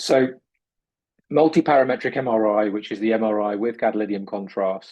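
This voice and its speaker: A man's fairly low voice with a British accent and fairly even intonation. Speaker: urologist and researcher. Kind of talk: lecture.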